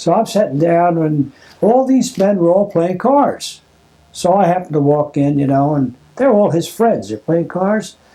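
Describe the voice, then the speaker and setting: With a Philadelphia accent, a man talks at a moderate pace in a high voice with lively intonation. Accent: Philadelphia American English. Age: 80s+. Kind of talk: family oral history interview. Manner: casual, rambling storytelling.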